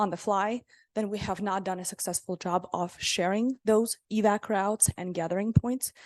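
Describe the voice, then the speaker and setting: A woman talks in a medium pitch with fairly even intonation, in a dry, close sound with no echo and a quiet background. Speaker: regional economic recovery official presenting to council. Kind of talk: public meeting presentation. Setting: city council meeting. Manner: fast.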